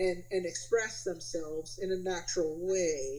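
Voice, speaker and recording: Noticeable background noise sits behind a woman with an American accent. Her pitch is fairly low. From New Jersey. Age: 40s. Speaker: music educator. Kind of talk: casual chat.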